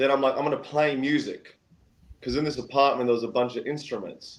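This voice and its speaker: Male voice of medium pitch with an Australian accent. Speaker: singer-songwriter. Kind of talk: casual storytelling interview. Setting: live-streamed podcast. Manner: animated.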